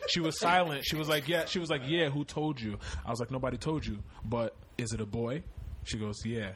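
Using an ordinary speaking voice, a man with an American accent talks at a fairly quick pace, medium in pitch and lively in intonation. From Connecticut. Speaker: content creator and music producer. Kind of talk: casual chat.

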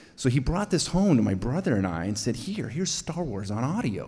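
Speaking at a moderate pace in an American accent, this somewhat breathy voice has very wide pitch swings and audible room echo. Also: man. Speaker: storyteller. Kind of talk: live storytelling. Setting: stage with audience.

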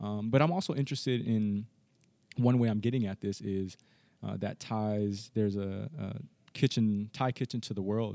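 A man with a Californian accent and a dark, mellow tone speaks at a moderate pace with fairly even intonation in a very clean recording with a silent background. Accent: Californian American. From US, Los Angeles. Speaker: history professor. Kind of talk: interview conversation.

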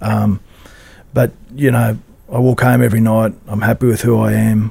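The speaker has an Australian accent and a fairly quick pace. The intonation is monotone and flat. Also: man. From Queensland, Australia. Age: 50s. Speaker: rugby league club CEO, former player. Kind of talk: interview. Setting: studio. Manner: halting.

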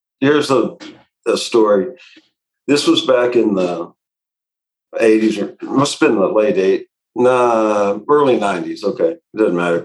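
A man with an American accent speaks fairly slowly with lively intonation and long, frequent pauses. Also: medium pitch for a man. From Indiana, Indianapolis. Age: 60s. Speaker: remodeling business owner. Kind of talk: interview.

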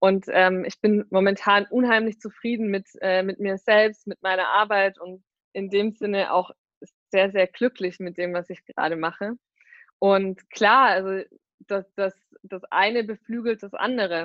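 A woman's medium-pitched voice, flat and monotone, at a fairly slow pace, with big swings in loudness. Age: 20s. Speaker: startup marketing executive. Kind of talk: interview. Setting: video call. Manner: frequent fillers (ähm, äh).

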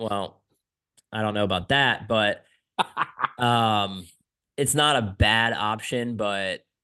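A man's fairly low, bright, sharp voice with a Pennsylvania accent, very slow in pace with long, frequent pauses and fairly even intonation, over a quiet background. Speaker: motorcycle racer and podcast host. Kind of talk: casual chat.

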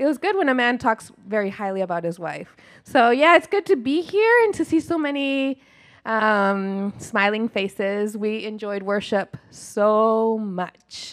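A woman's plain, everyday voice, fairly high in pitch and fairly slow, with lively intonation, on a very clean recording with a silent background. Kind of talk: short greeting in church. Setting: church.

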